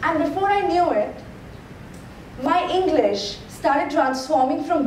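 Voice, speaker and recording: This woman talks at a fairly slow pace while noticeable background noise carries on around her. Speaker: TEDx speaker. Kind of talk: TEDx talk. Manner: humorous, conversational.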